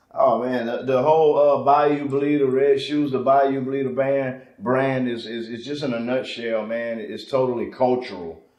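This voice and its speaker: A man with a Southern accent, medium pitch, fairly even intonation and a moderate pace. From Louisiana, Lake Charles. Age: 30s. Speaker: rapper. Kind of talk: casual interview.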